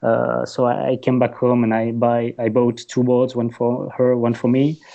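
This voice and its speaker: The voice keeps a moderate pace with very even loudness and monotone, flat intonation. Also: man, medium pitch for a man. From French-speaking southern Belgium. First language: French. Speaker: website creator and paddle boarder. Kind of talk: podcast interview. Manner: halting, with frequent fillers and repeats.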